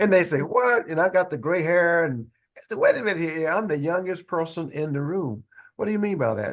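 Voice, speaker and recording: A man's high, energetic, animated voice with lively intonation at a fairly quick pace. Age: 60s. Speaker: leadership educator and speaker. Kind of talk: podcast interview storytelling.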